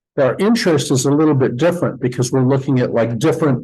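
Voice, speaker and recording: This man's voice has a dark, mellow tone, a fairly high pitch and a somewhat breathy quality. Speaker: math lecturer. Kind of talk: lecture. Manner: halting.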